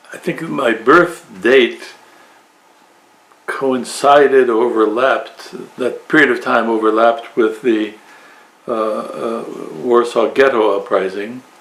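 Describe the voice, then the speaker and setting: A man speaks at a medium pitch with ordinary pitch variation, at a very slow pace. Long, frequent pauses break up his speech over noticeable background noise. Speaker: Orthodox priest. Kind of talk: interview. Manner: halting.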